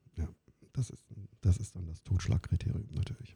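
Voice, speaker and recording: A man speaks at a fairly quick pace with a very deep, low pitch. His tone is dark and mellow, and somewhat breathy. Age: 50s. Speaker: employment lawyer. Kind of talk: interview.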